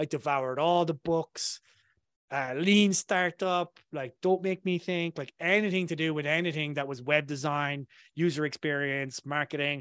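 A man with an Irish accent, fairly high-pitched, at a moderate pace, in a dry, close sound with no echo against a quiet background. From southern Ireland. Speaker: marketing consultant, former engineer. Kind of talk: casual interview chat. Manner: casual, filler-heavy.

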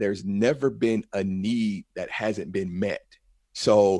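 In a dry, close sound with no echo and a very clean recording with a silent background, a man with medium pitch uses an unremarkable speaking voice with ordinary pitch variation. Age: 40s. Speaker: entrepreneur and presentation coach. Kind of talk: interview.

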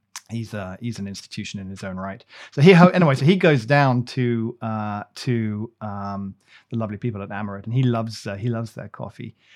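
A man with a British accent at a medium pitch and fairly quick pace, with ordinary pitch variation and big swings in loudness, on a very clean recording with a silent background. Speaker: coffee podcast host. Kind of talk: casual chat.

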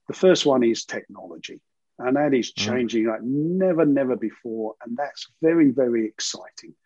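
With a London accent, a man speaks in a dark, mellow tone at a medium pitch. His intonation is lively. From East London, England. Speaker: financial services CEO. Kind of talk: interview.

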